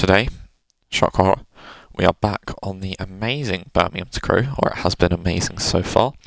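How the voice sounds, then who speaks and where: With a British accent, a man speaks in a very deep, low pitch at a moderate pace. The sound is dry and close, with no echo. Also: ordinary pitch variation. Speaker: gaming video creator. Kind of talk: gameplay commentary. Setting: home recording room. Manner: casual, chatty.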